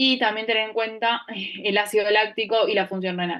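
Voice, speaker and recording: This woman talks at a fairly quick pace. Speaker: anesthesiology resident teaching a class. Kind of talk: lecture. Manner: fast.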